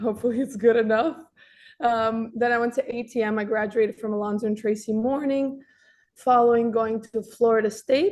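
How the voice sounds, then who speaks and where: A woman with a Russian accent, fairly high in pitch, talking at a fairly quick pace with fairly even intonation. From Russia (Moscow), moved to Miami at nine. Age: 20s. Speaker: dessert shop manager. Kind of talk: career talk interview. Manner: casual, some hesitations.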